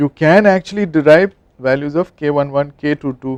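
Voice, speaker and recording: The recording has a dry, close sound with no echo as a man speaks at a fairly high pitch with ordinary pitch variation. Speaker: engineering professor. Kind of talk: lecture. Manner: fast.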